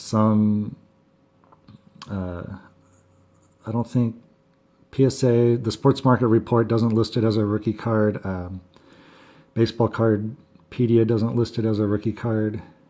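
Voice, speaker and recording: A man at medium pitch speaks at a very slow pace. He leaves long, frequent pauses, and his intonation is monotone and flat. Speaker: sports card collector video host. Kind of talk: casual video monologue. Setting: home. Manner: halting, many fillers.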